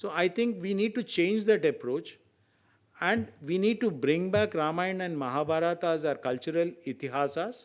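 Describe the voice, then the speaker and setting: On a very clean recording with a silent background, a high-pitched man with an Indian accent speaks at a moderate pace. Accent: Indian English, Telugu. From India, Telugu-speaking region. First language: Telugu. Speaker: senior advocate, legal expert. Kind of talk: round table discussion talk. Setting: round table discussion event.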